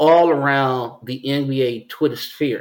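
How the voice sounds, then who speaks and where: A normal speaking voice at a fairly slow pace. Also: man. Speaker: podcast host. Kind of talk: casual sports chat.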